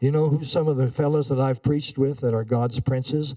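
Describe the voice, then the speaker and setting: Using fairly even intonation, a man with an American accent speaks in a dark, mellow tone. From Montana, US. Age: 80s+. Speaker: evangelist preacher. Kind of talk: sermon. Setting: church. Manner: halting.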